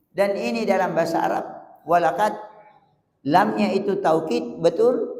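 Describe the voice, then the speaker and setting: Lively intonation marks a man speaking at a high pitch and a fairly slow pace. Audible room echo surrounds his voice. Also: long, frequent pauses. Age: 70s. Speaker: preacher. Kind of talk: sermon.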